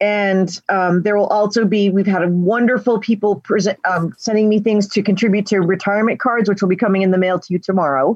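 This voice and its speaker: The clip features an ordinary speaking voice, its intonation fairly even. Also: woman. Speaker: convention coordinator and moderator. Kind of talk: moderating a virtual convention session. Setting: video call.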